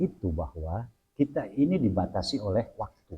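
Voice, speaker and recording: Somewhat breathy, this man's voice carries a dark tone. It sounds mellow. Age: 60s. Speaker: Islamic cleric. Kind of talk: religious talk in interview.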